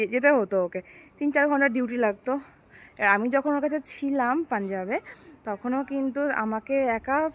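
A woman with a high voice talks, her pitch rising and falling in an ordinary way. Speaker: vlogger. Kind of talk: casual vlog talk to camera. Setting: outdoors. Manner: soft-spoken.

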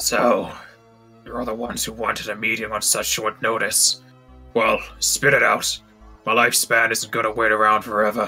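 A man's gravelly, put-on character voice at medium pitch and moderate pace, with faint music in the background. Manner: annoyed, curt.

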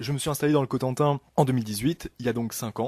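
A man talks at a moderate pace with ordinary pitch variation. The sound is dry with no echo and the background quiet. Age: 20s. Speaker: novelist; guest. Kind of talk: radio interview. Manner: hesitant, many fillers. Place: studio.

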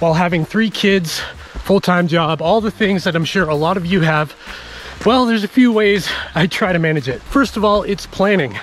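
Dry with no echo and with light background noise, a man's high-pitched voice moves at a moderate pace with ordinary pitch variation. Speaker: trail runner vlogger. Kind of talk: casual vlog chat. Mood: relaxed, upbeat. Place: forest. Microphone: phone near.

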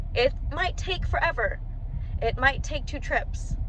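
A woman with a high pitch is heard in a dry sound with no echo over light background noise. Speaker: vlogger. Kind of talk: casual vlog chat. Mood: disappointed, then excited. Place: car. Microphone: phone near.

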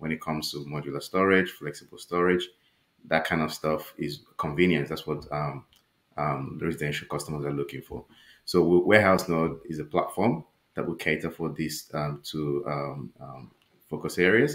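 Very deep and low in pitch, a man speaks at a moderate pace with fairly even intonation. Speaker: guest. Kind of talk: interview answer. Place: home room.

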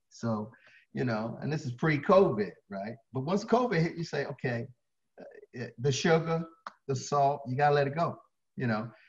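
Somewhat breathy and with lively intonation, a man talks at a moderate pace, taking long, frequent pauses over a quiet background. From Baltimore, Maryland. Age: 60s. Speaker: fitness trainer. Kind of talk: interview. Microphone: video call.

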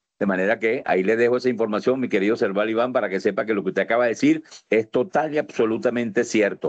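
A man's medium-pitched voice at a very fast pace, with ordinary pitch variation and very even loudness, over a quiet background. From Venezuela. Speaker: foundation president. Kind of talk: speech. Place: home room. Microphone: video call.

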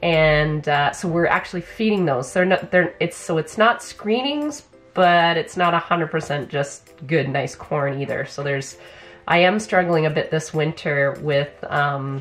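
Faint music plays in the background as the speaker goes at a fairly slow pace with ordinary pitch variation. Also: woman, fairly low pitch for a woman. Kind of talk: casual vlog chat. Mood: thoughtful, explanatory. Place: office. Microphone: camera far.

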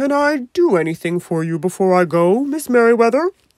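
A put-on character voice, female-sounding and fairly high, fairly quick, with very wide pitch swings. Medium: read story. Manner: prim, then gently warm.

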